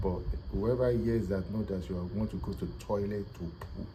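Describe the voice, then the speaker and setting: Audible room echo surrounds a man whose very deep, low voice has a dark, mellow tone and vocal fry. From Nigeria, Yoruba. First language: Yoruba. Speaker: language teacher. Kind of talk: casual language tutorial.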